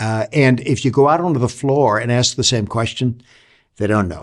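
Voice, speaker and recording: A plain, everyday voice at a moderate pace, with ordinary pitch variation and a quiet background. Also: man. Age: 60s. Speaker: leadership author and consultant. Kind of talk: talk to camera on leadership. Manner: reflective, with frequent fillers and restarts.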